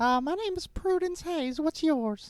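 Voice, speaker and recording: In a put-on character voice, someone talks at a moderate pace, high-pitched and squeaky. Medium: actual play. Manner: sweet, folksy Southern.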